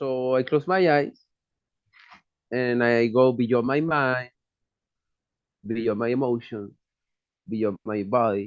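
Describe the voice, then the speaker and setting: Speaking at a very slow pace with long, frequent pauses, a man talks in a Chilean accent. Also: medium pitch for a man, ordinary pitch variation. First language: Spanish. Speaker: psychologist and shaman. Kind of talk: personal testimony. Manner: non-native, halting English.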